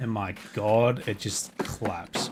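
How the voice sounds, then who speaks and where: A man's medium-pitched, somewhat breathy voice with an Australian accent. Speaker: video game streamer. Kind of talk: live gameplay stream commentary. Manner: casual, chatty.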